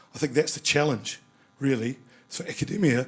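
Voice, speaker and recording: A man talks at a fairly quick pace with music in the background. His medium pitch has ordinary variation. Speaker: panellist from the tech industry. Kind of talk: panel discussion.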